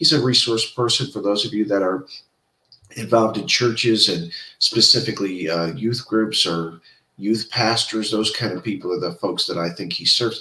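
With audible room echo, a man speaks at a moderate pace. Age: old. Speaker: podcast host. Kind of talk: interview; interview host talk. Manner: animated. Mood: warm, friendly. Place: home room. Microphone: earbuds.

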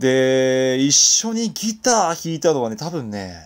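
A man speaks very slowly at a medium pitch, his voice swinging very widely up and down. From Kawaguchi, Saitama, Japan. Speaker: singer-songwriter; radio DJ. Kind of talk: casual internet radio talk.

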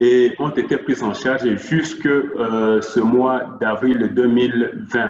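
There is a noticeable echo from the room around this man's voice. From Democratic Republic of the Congo. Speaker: NGO worker; presenter. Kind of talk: presentation. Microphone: video call.

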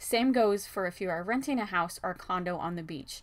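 Keeping a moderate tempo, the woman lets her pitch vary in an ordinary way. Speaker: local news updater. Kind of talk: news update read. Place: office.

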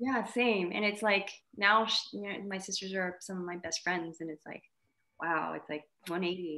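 In a quiet background, a woman with a bright, sharp tone and medium pitch speaks at a moderate pace, with fairly even intonation and big swings in loudness. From Montreal, Quebec, Canada (Vietnamese family). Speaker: actress. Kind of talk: casual interview chat; interview answer. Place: home room. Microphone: video call.

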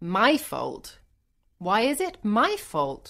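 A woman's put-on character voice at medium pitch and a very slow pace, with very wide pitch swings, a fairly bright tone and vocal fry, on a very clean recording with a silent background

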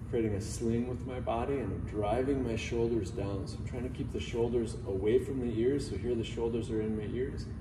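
Background noise is noticeable behind this man. He speaks at a fairly quick pace with ordinary pitch variation. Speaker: yoga instructor. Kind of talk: tutorial. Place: gym. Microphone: camera far.

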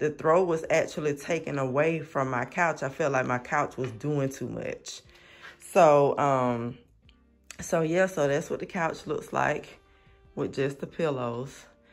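Faint music plays in the background. A man speaks at a fairly slow pace with fairly even intonation. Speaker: home decor vlogger. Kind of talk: casual vlog chat. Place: home room. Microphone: phone near.

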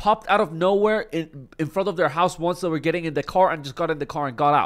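Over a quiet background, a man speaks with a high pitch and ordinary pitch variation. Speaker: online commentator. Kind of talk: commentary. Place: home room. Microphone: studio mic.

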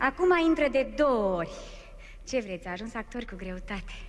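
A woman speaks at a moderate pace. There is light background noise. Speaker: presenter / emcee introducing a performer. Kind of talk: comedic stage introduction. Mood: playful, smiling. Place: stage. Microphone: podium.

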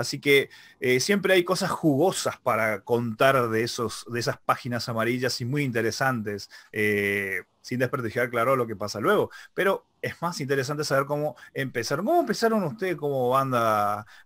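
Lively intonation at a moderate pace, dry sound with no echo. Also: man, quiet background. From Argentina. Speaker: web show interviewer. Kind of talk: interview. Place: home room. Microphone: studio mic.

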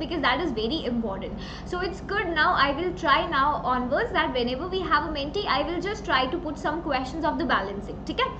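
A woman speaks at a fairly quick pace in a high voice. Noticeable background noise runs underneath. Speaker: online teacher. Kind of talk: live class chat reading viewer comments. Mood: cheerful, laughing. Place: home room. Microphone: webcam.

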